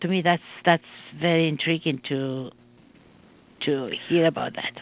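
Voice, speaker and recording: Pausing long and often, a woman speaks at a very deep, low pitch with ordinary pitch variation. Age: 60s. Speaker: radio host. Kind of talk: interview. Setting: radio studio. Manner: halting.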